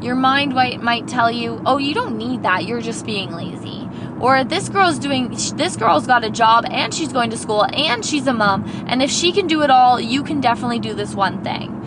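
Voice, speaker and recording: A woman's high-pitched, animated voice with lively intonation at a moderate pace, amid audible room echo and noticeable background noise. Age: 20s. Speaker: podcast host and kindergarten teacher. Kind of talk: casual pep talk monologue. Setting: in a car.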